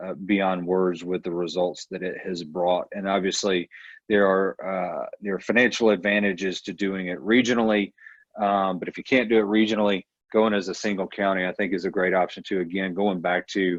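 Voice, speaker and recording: With a Georgia accent, a man speaks at a moderate pace in a very deep, low pitch with monotone, flat intonation. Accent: US Southern (Georgia). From Northwest Georgia. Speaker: transportation advocate. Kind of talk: town hall Q&A.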